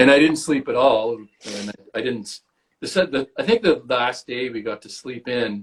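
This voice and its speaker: With an American accent, the speaker goes at a moderate pace, with ordinary pitch variation and big swings in loudness. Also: man, medium pitch for a man. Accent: Canadian English, trained toward American. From Canada. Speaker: actor. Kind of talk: casual chat. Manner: animated.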